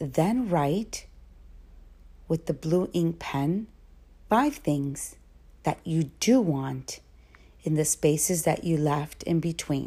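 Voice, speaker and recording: A woman's very deep, low voice, dark and mellow, calm and soothing, somewhat breathy, at a very slow pace with long, frequent pauses, very even loudness and ordinary pitch variation. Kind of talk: guided meditation. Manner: slow, calm and soothing, with long pauses for breathing.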